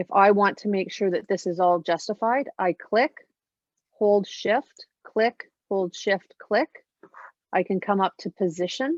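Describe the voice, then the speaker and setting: A woman at a medium pitch in an ordinary speaking voice, fairly slow in pace, with ordinary pitch variation. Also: dry, close sound with no echo. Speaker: social media marketing trainer. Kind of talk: webinar tutorial.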